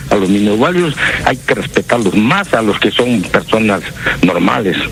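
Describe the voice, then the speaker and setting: Lively intonation from a man at a fairly low pitch, a moderate pace and very even loudness, with music in the background. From Peru, Trujillo. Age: 70s. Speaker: caller. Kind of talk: phone-in comment.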